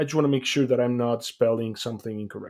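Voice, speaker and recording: The recording is very clean, with a silent background. A man with a non-native accent and a dark, mellow tone talks at a very fast pace with ordinary pitch variation. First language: not English. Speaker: podcast co-host. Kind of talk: casual chat. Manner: halting.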